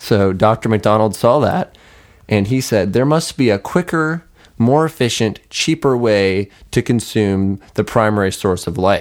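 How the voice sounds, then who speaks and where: Speaking at a fairly slow pace, a man with a plain, everyday voice has a fairly low pitch, lively intonation and very even loudness on a very clean recording with a silent background. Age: young. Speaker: podcast co-host. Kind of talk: casual chat.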